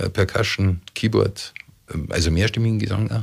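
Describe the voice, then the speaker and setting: A man with a fairly low pitch and ordinary pitch variation speaks on a very clean recording with a silent background. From Munich, Bavaria. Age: 60s. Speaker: mayoral candidate. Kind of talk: radio interview. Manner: hesitant with fillers.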